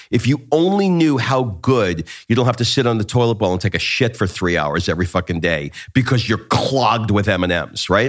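With lively intonation and a medium pitch, a man talks at a fairly quick pace in an unremarkable speaking voice. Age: 50s. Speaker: life and business coach, podcast host. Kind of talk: casual chat.

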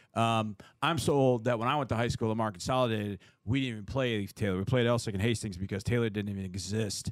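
A man speaks very fast at a medium pitch with fairly even intonation. The recording is very clean, with a silent background. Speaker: radio co-host. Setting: radio studio.

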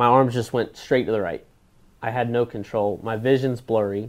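This man has an American accent and an unremarkable speaking voice at a medium pitch. He talks at a moderate pace with fairly even intonation. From Florida. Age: 30s. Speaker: racing driver. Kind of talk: interview.

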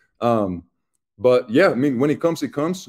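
A fairly quick pace in a Chilean accent, with dry, close sound and no echo. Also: man. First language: Spanish. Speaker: football player. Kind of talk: interview. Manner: casual.

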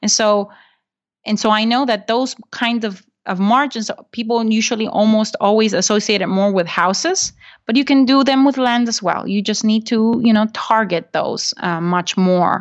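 At a moderate pace, a woman with a Spanish accent speaks at a fairly high pitch, with ordinary pitch variation. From Honduras. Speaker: real estate investor and podcaster. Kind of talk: interview.

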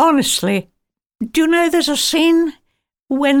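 A woman with an RP accent speaks with lively intonation on a very clean recording with a silent background. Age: 90s. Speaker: retired film actress. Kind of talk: interview. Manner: halting.

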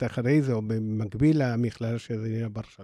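A man speaks with an Argentine accent in a dark, mellow tone, his intonation fairly even, on a very clean recording with a silent background. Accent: Argentine Spanish accent in Hebrew. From Argentina. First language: Spanish (speaking Hebrew). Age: 60s. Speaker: nonprofit program director. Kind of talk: interview.

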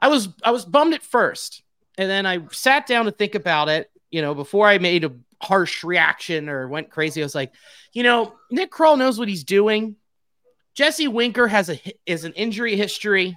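Speech at a moderate pace comes through in a very clean recording with a silent background. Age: 30s. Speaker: baseball podcaster. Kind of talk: casual chat. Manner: animated.

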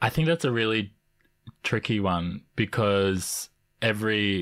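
A man with an Australian accent speaks at a very slow pace with fairly even intonation. The sound is dry and close with no echo, on a very clean recording with a silent background. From Canberra, Australia (also Samoa). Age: 20s. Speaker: multidisciplinary artist and actor. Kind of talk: interview. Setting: studio.

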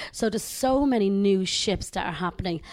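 In a very clean recording with a silent background, a woman speaks at medium pitch with an Irish accent. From Ireland. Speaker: cruise line sales executive. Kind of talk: interview. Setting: studio.

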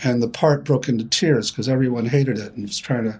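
Very fast male speech at a medium pitch, somewhat breathy, with ordinary pitch variation. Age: 70s. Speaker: therapist and psychotherapy founder. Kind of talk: interview discussion.

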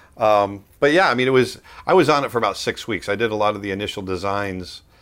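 A man with an American accent uses an ordinary speaking voice, fairly low in pitch with ordinary pitch variation, at a fairly quick pace. The recording is very clean, with a silent background. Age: 50s. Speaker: animator and artist. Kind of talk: interview.

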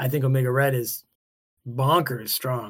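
Somewhat breathy and animated, the voice moves at a moderate pace on a very clean recording with a silent background. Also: man. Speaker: podcast co-host. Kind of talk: casual banter. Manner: animated, joking.

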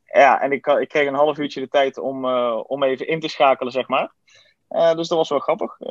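The man talks at a moderate pace, the sound dry and close with no echo. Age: 20s. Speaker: student. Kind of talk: interview. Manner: halting, many fillers.

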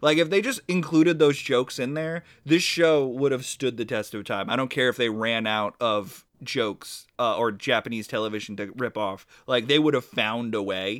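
With hardly any pauses, a man talks at a moderate pace and medium pitch with lively intonation, in an ordinary speaking voice. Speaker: podcast co-host. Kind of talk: casual chat.

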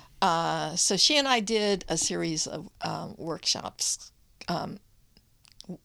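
A woman speaks at a fairly low pitch with vocal fry. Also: very clean recording, silent background. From United States (Japanese-American family, born in Baltimore). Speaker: poet and author. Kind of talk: casual interview. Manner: halting, many fillers.

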